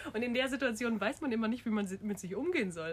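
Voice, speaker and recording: With lively intonation, a woman speaks in a fairly high, somewhat breathy voice. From Munich, Bavaria. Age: 20s. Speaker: university student, podcast co-host. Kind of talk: casual chat.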